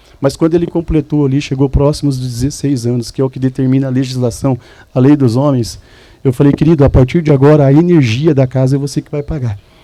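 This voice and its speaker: A man with a Mato Grosso do Sul accent speaks at a very fast pace. His fairly high voice has a dark, mellow tone and fairly even intonation. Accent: Mato Grosso do Sul Brazilian. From Mato Grosso do Sul, Brazil. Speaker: church speaker giving testimony. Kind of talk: testimony. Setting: men's church event with audience.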